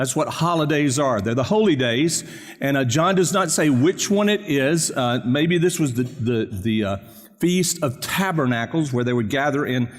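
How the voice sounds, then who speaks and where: There is audible room echo as a man speaks with lively intonation and very even loudness. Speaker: pastor. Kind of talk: sermon. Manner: fast.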